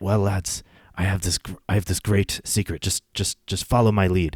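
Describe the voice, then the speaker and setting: In a put-on character voice, a man speaks at a moderate pace, raspy and fairly low-pitched, with monotone, flat intonation. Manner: conspiratorial, bad imitation.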